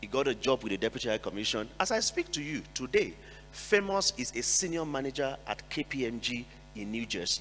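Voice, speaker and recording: A man with a medium pitch, a bright, sharp tone, vocal fry and lively intonation, at a fairly quick pace. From Nigeria. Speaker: NGO executive director, panelist. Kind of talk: panel discussion.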